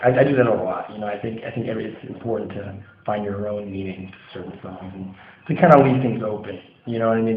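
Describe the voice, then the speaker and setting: Audible room echo follows a man who speaks very fast with an American accent and fairly even intonation. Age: 20s. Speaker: hardcore band singer. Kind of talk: interview. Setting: music venue after a show. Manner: halting. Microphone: audio a little quiet.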